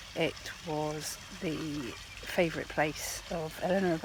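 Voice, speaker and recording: A soft-spoken voice against noticeable background noise. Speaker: travel vlogger. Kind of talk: casual vlog talk to camera. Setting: outdoors in abbey gardens. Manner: soft-spoken, talking quietly.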